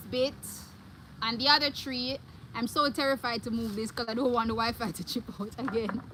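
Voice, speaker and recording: A woman talks with an animated tone at a high pitch and moderate pace, with ordinary pitch variation and long, frequent pauses. Noticeable background noise is present. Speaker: vlogger. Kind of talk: live stream.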